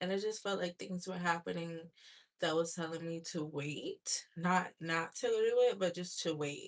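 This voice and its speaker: Soft-spoken, a woman talks at a moderate pace with an American accent. Her pitch is fairly low, with ordinary variation. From USA. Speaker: hair vlogger. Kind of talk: casual chat.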